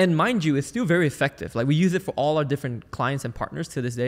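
On a very clean recording with a silent background, a man sounds energetic, his pitch fairly high. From Malaysia. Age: 20s. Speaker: sales team consultant and entrepreneur. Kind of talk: interview.

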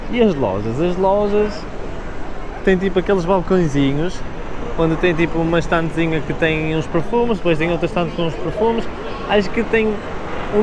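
Delivered at a moderate pace with ordinary pitch variation, the speech has a dry sound with no echo and noticeable background noise. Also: man. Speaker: travel vlogger. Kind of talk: casual vlog chat. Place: hall. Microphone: lapel.

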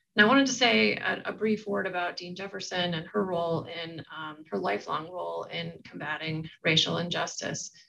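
Fairly low-pitched female voice, bright and sharp in tone with vocal fry, very wide pitch swings, big swings in loudness, a moderate pace and hardly any pauses. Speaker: event moderator at a law school. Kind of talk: moderated panel webinar. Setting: online webinar. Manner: halting, many filler words. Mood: earnest, measured. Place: office. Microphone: webcam.

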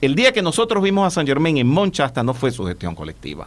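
A man's medium-pitched voice with vocal fry, at a moderate pace. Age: 60s. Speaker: spiritual teacher. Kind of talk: interview. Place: studio. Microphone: studio mic.

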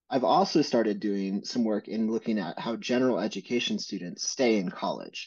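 The pace of this man's speech is moderate. Behind him the background is quiet. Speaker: interviewee. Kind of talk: interview answer. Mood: reflective, candid. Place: home room. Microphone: webcam.

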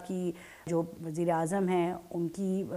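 A woman's dark, mellow tone, medium in pitch, with fairly even intonation. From Pakistan. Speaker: politician. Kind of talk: interview. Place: office.

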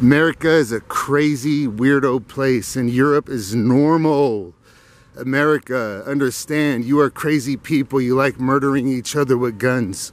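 A man talks at a moderate pace with fairly even intonation, the sound dry with no echo. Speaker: walking vlogger. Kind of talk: casual vlog chat. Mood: opinionated, ranting. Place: garden. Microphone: phone near.

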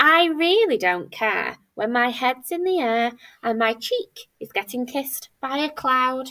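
Over a quiet background, a woman projects a high, bright and sharp voice in an animated, playful tone at a fairly slow pace. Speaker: primary school teacher. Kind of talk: children's story reading aloud. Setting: recorded video for pupils. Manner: animated, playful storyteller with dramatic character voices; warm, clear, child-friendly pacing. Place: classroom. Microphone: webcam.

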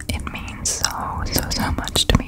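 Whispering very slowly in a gentle tone, a woman sounds dry with no echo, against loud background noise. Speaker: ASMR creator. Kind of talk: soft casual ASMR chat. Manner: gentle intimate whisper. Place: home room. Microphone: studio mic.

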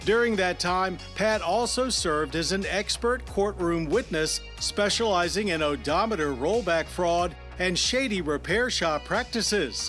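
Over music in the background, a man talks at a fairly slow pace with hardly any pauses. His loudness stays very even. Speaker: TV show host. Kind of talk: documentary tribute narration.

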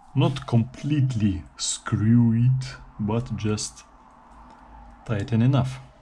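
A man's dark, mellow, somewhat breathy voice at a very slow pace, over light background noise. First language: not English. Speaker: guitar DIY video maker. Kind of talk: tutorial. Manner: casual. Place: workshop. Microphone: camera far.

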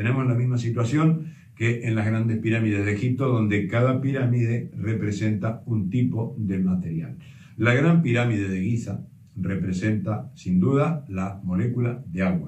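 Against a quiet background with audible room echo, a man speaks at a moderate pace in a somewhat breathy, dark, mellow tone with ordinary pitch variation. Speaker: presenter. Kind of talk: explanatory talk. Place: home room. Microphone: camera far.

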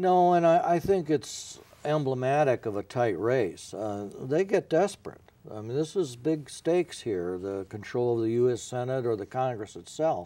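A man's dark, mellow voice at a moderate pace, with very wide swings in pitch. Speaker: former newspaper editor, guest. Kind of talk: interview answer. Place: studio. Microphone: lapel.

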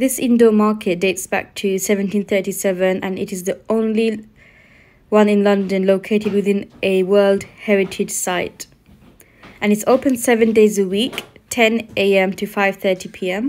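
A woman's monotone, flat intonation at a moderate pace. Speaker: vlogger filming a market visit. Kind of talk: casual vlog chat. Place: market. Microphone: phone near.

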